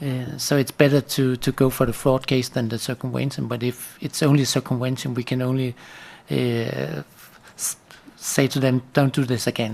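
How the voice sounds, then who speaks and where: The speaker has a Danish accent and talks at a moderate pace. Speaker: paying agency official. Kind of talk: workshop discussion.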